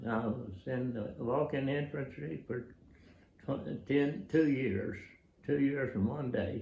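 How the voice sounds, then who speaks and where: A man with an American accent speaks at medium pitch and a very slow pace, somewhat breathy, his tone dark and mellow. His pitch varies in an ordinary way, and the room echo is audible. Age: 90s. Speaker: war veteran. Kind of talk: personal testimony / recollection. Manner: halting, many fillers and restarts.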